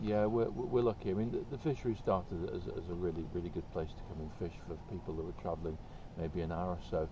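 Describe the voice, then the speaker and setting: A man's very deep, low, somewhat breathy voice with a dark, mellow tone, a very fast pace, ordinary pitch variation and audible room echo. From Ireland. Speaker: fishery owner. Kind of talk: casual interview.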